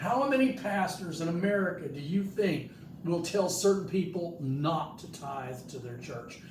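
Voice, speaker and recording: With noticeable background noise and audible room echo, a man speaks at a high pitch with lively intonation. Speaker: pastor. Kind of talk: sermon. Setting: hospital room, live stream. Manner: loud.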